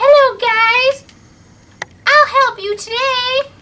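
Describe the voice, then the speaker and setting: A put-on character voice, squeaky and extremely high in pitch, drawls along at a very slow pace. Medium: solo performance.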